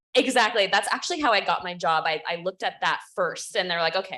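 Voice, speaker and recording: A woman with a medium pitch and a bright, sharp tone talks at a very fast pace. She leaves hardly any pauses. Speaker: policy advocate. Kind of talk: panel presentation. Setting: conference room with audience, also on Zoom.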